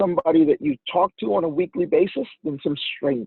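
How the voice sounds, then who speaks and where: This is a man speaking. His pitch is high. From Indonesia. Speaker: wholesale supplier, business founder. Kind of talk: podcast interview. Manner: halting, with fillers and repeated words.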